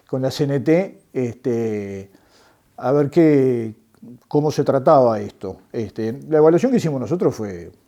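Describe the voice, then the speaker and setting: With a Uruguayan accent, a man speaks at a fairly slow pace in a dark, mellow tone. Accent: Rioplatense Spanish (Uruguayan). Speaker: former political prisoner, construction worker and trade unionist. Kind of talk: testimony interview. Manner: halting, many fillers.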